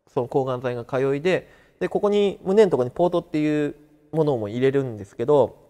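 A man with a fairly high pitch and dark, mellow tone at a moderate pace over a quiet background. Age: 30s. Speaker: cancer survivor. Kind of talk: interview testimony. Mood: calm, matter-of-fact about illness. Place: classroom. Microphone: lapel.

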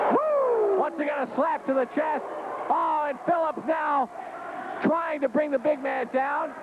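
A man speaks with ordinary pitch variation, the sound dry with no echo despite loud background noise. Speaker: wrestling play-by-play announcer. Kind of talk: commentary. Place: hall.

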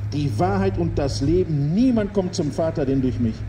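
A man's solemn tone carries very wide pitch swings over noticeable background noise. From Gelsenkirchen, Ruhr area, Germany. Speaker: street preacher. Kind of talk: open-air street sermon to passers-by, with urgent calls to repent. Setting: outdoors in front of a town hall and church. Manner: emphatic, fervent, repeating for emphasis, persuasive; rhetorical, with dry jokes, then solemn and appealing at the close. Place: street. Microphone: handheld.

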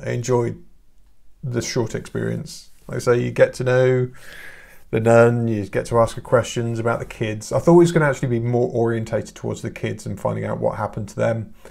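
A man speaks at a fairly quick pace and medium pitch, with a slightly mellow tone. Vocal fry runs through his voice.

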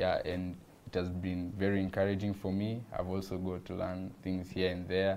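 At a moderate pace, a man with a very deep, low pitch speaks in a monotone, flat intonation over light background noise. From Kenya. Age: young. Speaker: visual artist. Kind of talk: casual chat. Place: studio. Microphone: lapel.

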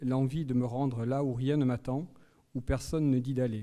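Against a quiet background, a man talks at a fairly slow pace. His intonation stays fairly even. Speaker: teacher introducing a guest lecturer. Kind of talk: lecture introduction and reading aloud. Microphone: studio mic.

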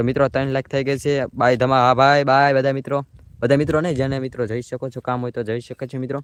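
A man at a medium pitch, with a dry, close sound with no echo. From Gujarat, Saurashtra region (Ahmedabad district, Dholera area). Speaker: vlogger. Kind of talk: live stream commentary. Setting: outdoors in rain with umbrella. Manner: animated.

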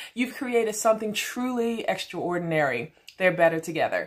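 A woman with a fairly high pitch and an animated tone makes very wide pitch swings over a quiet background. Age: 50s. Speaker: beauty consultant; product seller. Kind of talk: product demonstration. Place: home room. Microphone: phone near.

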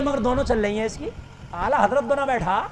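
An animated man with ordinary pitch variation over noticeable background noise. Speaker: Islamic preacher. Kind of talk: humorous religious sermon. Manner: animated, comedic, conversational. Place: stage. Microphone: podium.

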